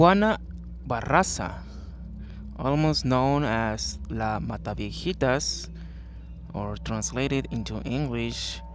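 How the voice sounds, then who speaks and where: A man at a very slow pace, with long, frequent pauses and music in the background. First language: not English. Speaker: true crime narrator. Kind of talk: true crime narration.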